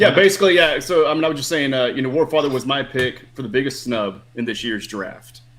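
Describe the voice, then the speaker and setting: In an unremarkable speaking voice, a man with an American accent talks at a fairly quick pace with ordinary pitch variation. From outside the US. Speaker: fan contestant in quiz. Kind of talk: casual chat.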